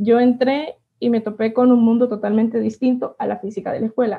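A woman's unremarkable speaking voice, fairly high in pitch, at a moderate pace. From Honduras, El Paraíso. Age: 20s. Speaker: physicist and university instructor. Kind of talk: interview.

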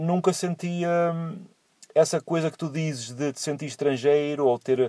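The tone is dark and mellow, delivered at a fairly slow pace. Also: man. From Portugal, São João da Madeira. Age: 40s. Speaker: truck driver. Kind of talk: casual chat. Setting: Skype call from a parked car. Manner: halting, repeats words.

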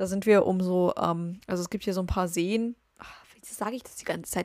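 Delivery is fairly quick. The tone is dark and mellow, and the intonation stays fairly even. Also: woman. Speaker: podcast host. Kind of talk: casual monologue. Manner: rambling, filler-heavy.

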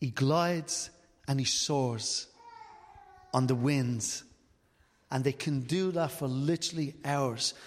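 A man's fairly high voice at a very slow pace, with long, frequent pauses and ordinary pitch variation. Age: 50s. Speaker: preacher. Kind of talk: sermon.

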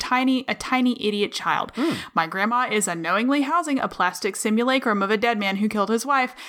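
A woman's very fast, lively speech in a bright, sharp tone. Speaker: podcast co-host. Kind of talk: casual banter podcast. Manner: playful, joking.

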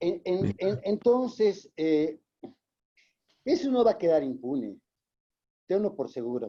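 A man with a high-pitched voice and a dark, mellow tone speaks at a very slow pace, his pitch swinging very widely between long, frequent pauses. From Bolivia. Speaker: audience participant. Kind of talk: casual comment.

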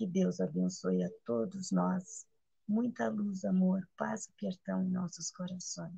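A woman speaks at a very slow pace. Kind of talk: spiritual sharing.

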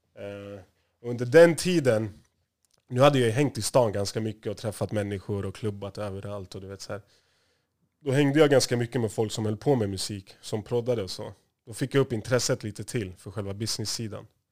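A man with an unremarkable speaking voice, fairly low in pitch with ordinary pitch variation, at a fairly quick pace with big swings in loudness, on a very clean recording with a silent background. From Stockholm area, Sweden (Järfälla). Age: 30s. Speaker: music industry manager. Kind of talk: interview.

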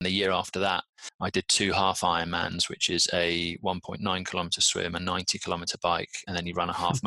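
A man with a British accent speaks at a fairly quick pace. His very deep, low voice has a bright, sharp tone and flat, monotone intonation. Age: 40s. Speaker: patient advocate and endurance athlete. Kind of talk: interview.

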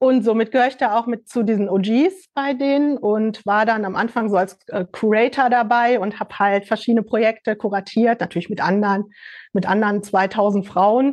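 A woman talks at a moderate pace in a normal speaking voice. Her pitch is fairly high, her intonation fairly even, and the background quiet. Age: 50s. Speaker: fashion label founder. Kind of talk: casual chat.

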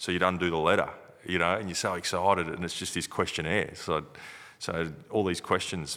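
In a very clean recording with a silent background, a man with an Australian accent speaks at a fairly quick pace, his very deep, low voice bright and sharp in tone yet monotone and flat. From Broken Hill, New South Wales, Australia. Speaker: retired Australian rules footballer. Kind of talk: casual interview.

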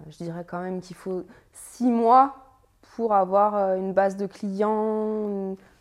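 Her medium-pitched voice, a woman's, keeps a fairly even intonation. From France, Annecy. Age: 30s. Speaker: web writer and SEO consultant. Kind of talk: casual chat.

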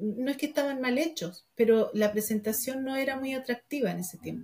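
At a moderate pace, a woman talks with a dark, mellow tone, a high pitch and ordinary pitch variation. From Argentina, raised in Chile from age 12. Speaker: entrepreneur, confectionery business founder. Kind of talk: interview. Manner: halting, many repetitions.

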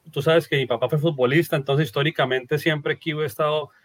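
A man rattles along at a very fast pace in a somewhat breathy, fairly high voice, his intonation fairly even. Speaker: podcast host. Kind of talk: interview.

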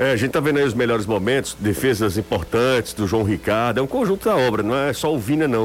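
Medium-pitched man at a very fast pace with hardly any pauses, lively intonation, very even loudness, and noticeable background noise. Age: 30s. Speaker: sports radio host. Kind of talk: sports talk radio.

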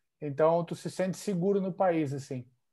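A man's high-pitched voice at a moderate pace, on a very clean recording with a silent background. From southern Brazil, Santa Catarina (Joinville). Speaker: futsal player. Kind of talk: interview.

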